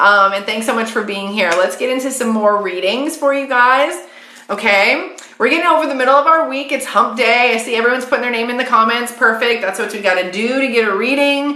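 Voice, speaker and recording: Against noticeable background noise and audible room echo, a woman with a high pitch talks at a fairly quick pace with ordinary pitch variation. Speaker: psychic medium. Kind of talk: live stream card reading. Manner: fast; casual, chatty.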